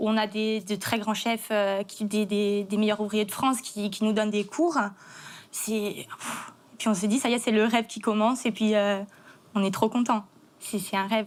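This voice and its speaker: A woman speaks at a fairly high pitch and a moderate pace. Her intonation is monotone and flat. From Corsica. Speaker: chef. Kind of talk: testimony. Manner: halting.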